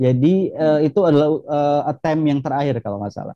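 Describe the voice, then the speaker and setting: A man speaks at a moderate pace in a Javanese accent, his pitch fairly high and his tone dark and mellow. The sound is dry and close, with no echo. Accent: Javanese-accented Indonesian. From Indonesia, Jambi (Rimbo Bujang, Javanese transmigrant area). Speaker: academic with US doctorate, former top student. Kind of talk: interview. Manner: hesitant, many fillers.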